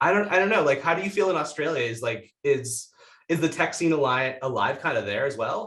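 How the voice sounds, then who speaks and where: A man with a plain, everyday voice talks at a fairly quick pace, using a fairly high pitch and lively intonation. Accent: American. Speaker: podcast host. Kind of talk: casual interview.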